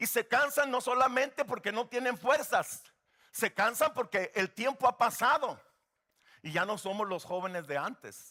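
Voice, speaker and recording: A man's raised, projected voice at an extremely high pitch, bright and sharp, with lively intonation, a fairly slow pace and a dry, close sound with no echo. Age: 60s. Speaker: guest pastor. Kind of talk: sermon.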